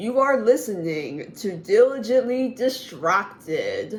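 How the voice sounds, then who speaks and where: In a put-on character voice, a female-sounding speaker talks at a fairly slow pace with a fairly high pitch. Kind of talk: polished broadcast announcer.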